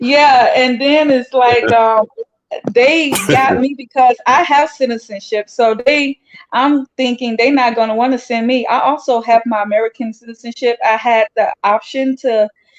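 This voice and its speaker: A woman's high-pitched voice at a moderate pace, very even in loudness and fairly even in intonation, with a dry, close sound and no echo. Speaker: guest, Israel-born Hebrew Israelite. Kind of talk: interview.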